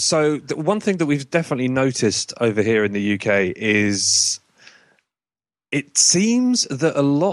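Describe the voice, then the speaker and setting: A man speaks in an English accent with very wide pitch swings and very even loudness. His pace is fairly slow. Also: fairly high pitch for a man. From UK. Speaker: podcast guest, game company owner.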